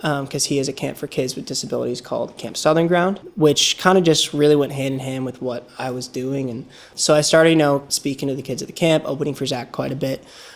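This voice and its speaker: Speaking at a fairly quick pace with an American accent, a man uses a fairly high pitch, ordinary pitch variation and an animated tone over noticeable background noise. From Long Island, New York. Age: 20s. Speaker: country singer. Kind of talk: casual interview chat. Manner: animated, many fillers.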